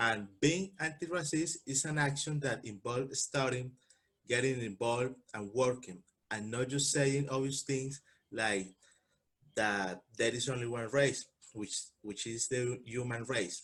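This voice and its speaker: With a Spanish accent, a man speaks at a fairly slow pace in a medium pitch with ordinary pitch variation. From Colombia. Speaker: panel speaker. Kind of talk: prepared talk.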